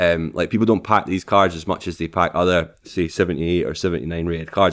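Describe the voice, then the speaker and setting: A man's very deep, low voice with a Scottish accent and fairly even intonation, at a fairly quick pace, on a very clean recording with a silent background. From Scotland, Falkirk. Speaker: streamer. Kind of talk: casual chat.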